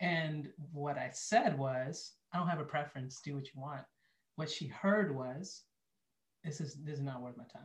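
A somewhat breathy man at a fairly high pitch, moderate pace, ordinary pitch variation, big swings in loudness and long, frequent pauses. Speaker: marriage ministry leader and entrepreneur. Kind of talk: casual interview chat. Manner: calm, lowered pace.

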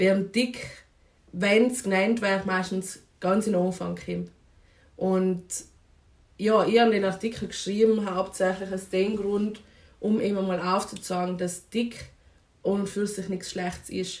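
A woman speaks in a flat, monotone way at a fairly slow pace. She leaves long, frequent pauses. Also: medium pitch for a woman. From South Tyrol, Italy (Vinschgau). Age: 20s. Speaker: anthropology student and feminist activist. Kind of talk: podcast interview. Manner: hesitant, many fillers.

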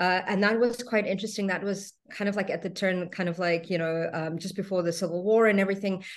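A woman talks at a very fast pace with hardly any pauses and fairly even intonation. The background is quiet. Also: medium pitch for a woman. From South Africa. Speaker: spiritual teacher and craniosacral therapist. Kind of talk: interview. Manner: halting.

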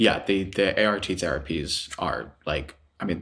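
In a very clean recording with a silent background, a man with an American accent speaks with a very deep, low pitch. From US Midwest, Chicago. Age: 20s. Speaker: graduate student. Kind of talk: casual chat.

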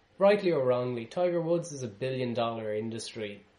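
Noticeable noise sits behind this man's voice. He keeps a moderate tempo, and his pitch moves in an ordinary way. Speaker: podcast host. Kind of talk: casual podcast chat.

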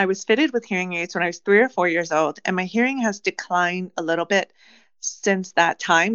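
This woman has a plain, everyday voice with an American accent. Her pitch sits in the medium range and varies an ordinary amount. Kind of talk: casual interview.

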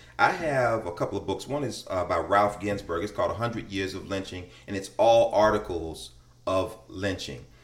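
Someone speaks at a moderate pace in an American accent, somewhat breathy and with ordinary pitch variation. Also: man, fairly low pitch for a man. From Chicago, West Side. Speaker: middle school teacher. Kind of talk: casual conversation.

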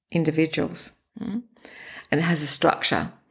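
Speaking very slowly with an Australian accent, a woman uses a fairly low pitch, ordinary pitch variation and vocal fry. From Australia, Sydney. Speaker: breathwork practitioner, former linguistics academic. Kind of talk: interview.

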